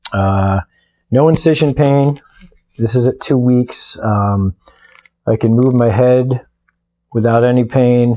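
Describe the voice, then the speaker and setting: Very slowly and with long, frequent pauses, a man speaks at a medium pitch in a dark, mellow tone, with ordinary pitch variation and very even loudness. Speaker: weightlifter recovering from neck surgery. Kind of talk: video diary update. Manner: casual, halting with frequent fillers.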